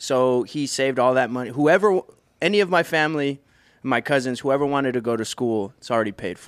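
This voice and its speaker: With an American accent, a man in a normal speaking voice talks at a fairly quick pace and medium pitch with ordinary pitch variation, on a very clean recording with a silent background. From Brownsville, Texas. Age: 30s. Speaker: professional drummer. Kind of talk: casual chat. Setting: studio.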